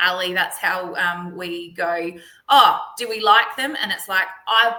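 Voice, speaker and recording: A bright, sharp tone in an Australian accent at a fairly slow pace. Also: woman. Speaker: parent advocate. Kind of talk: webinar presentation. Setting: live webinar. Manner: loud; animated.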